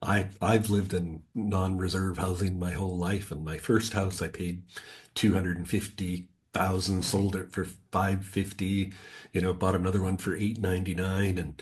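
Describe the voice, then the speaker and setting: A man's very deep, low voice, somewhat breathy, flat and monotone at a moderate pace, over a quiet background. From West Coast of Canada, British Columbia. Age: 60s. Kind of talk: podcast interview. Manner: conversational, many filler words.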